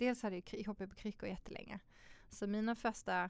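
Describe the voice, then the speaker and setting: A woman at medium pitch, an ordinary speaking voice with ordinary pitch variation. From Sweden, Malmö (Skåne). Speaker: model and fashion designer. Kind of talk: casual interview.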